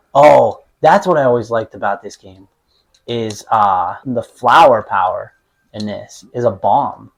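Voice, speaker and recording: A man with a Pittsburgh accent and a medium pitch speaks at a fairly slow pace. His loudness swings widely. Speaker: podcast co-host, hockey coach. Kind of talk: casual chat while playing games.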